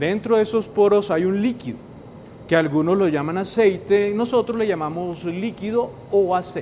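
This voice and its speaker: Speaking at a moderate pace in a Caribbean Colombian accent, a man uses a high pitch with ordinary pitch variation. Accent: Colombian Caribbean coastal. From northern Colombia (Caribbean coast). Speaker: university professor. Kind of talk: educational explainer. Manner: engaging, uses rhetorical questions.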